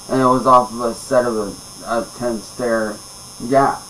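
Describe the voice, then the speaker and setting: Light background noise runs under a man's speaking. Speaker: storyteller. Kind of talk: casual vlog chat. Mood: calm, low-key storytelling. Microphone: webcam.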